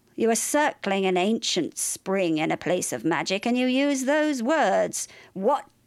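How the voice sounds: Lively intonation in a natural reading voice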